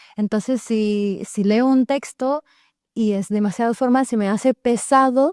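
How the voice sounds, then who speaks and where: A woman with a non-native accent speaks at a fairly slow pace in a dark, mellow tone, the sound dry and close with no echo and the background silent on a very clean recording. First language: not Spanish (speaking Spanish). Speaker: content creator and language teacher. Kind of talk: round table discussion. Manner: halting.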